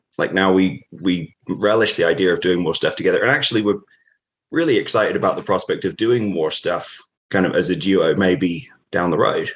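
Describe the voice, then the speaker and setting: A man speaks at a fairly quick pace with a British accent. The recording is very clean with a silent background, and his loudness stays very even. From England, Norfolk (East Anglia). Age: 30s. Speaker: professional wrestler. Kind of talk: interview. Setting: podcast.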